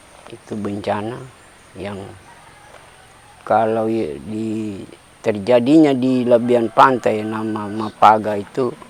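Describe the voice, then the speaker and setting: Amid noticeable background noise, a man with a fairly low voice talks at a very slow pace, with ordinary pitch variation and long, frequent pauses. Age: 70s. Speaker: farmer, tsunami survivor. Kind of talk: interview testimony.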